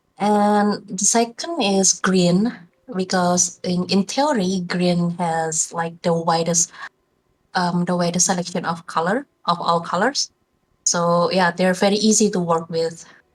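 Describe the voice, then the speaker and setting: Speaking with a non-native accent, a woman at a medium pitch keeps a fairly slow pace, fairly even intonation and very even loudness. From Indonesia. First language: not English. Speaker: video game artist. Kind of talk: interview. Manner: halting.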